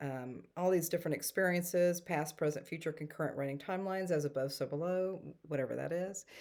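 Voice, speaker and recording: In a very clean recording with a silent background, a woman with a Texan accent speaks very fast, with hardly any pauses. Her voice is fairly low, with fairly even intonation. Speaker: spiritual storyteller and energy healer. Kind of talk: casual talk to camera.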